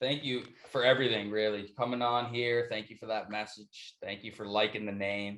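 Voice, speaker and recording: The man's fairly low voice stays flat and monotone at a moderate pace, while its loudness swings widely. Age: 20s. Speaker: podcast host. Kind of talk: podcast interview. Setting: video call.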